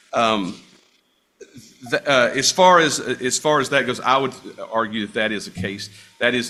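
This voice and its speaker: Moderately paced speech from a man over background music. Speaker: attorney. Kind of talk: court argument. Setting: courtroom. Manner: loud; halting.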